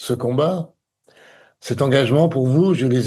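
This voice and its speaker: A man speaks in a somewhat breathy voice at medium pitch. His tone is dark and mellow. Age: 60s. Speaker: election candidate. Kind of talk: campaign statement. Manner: formal.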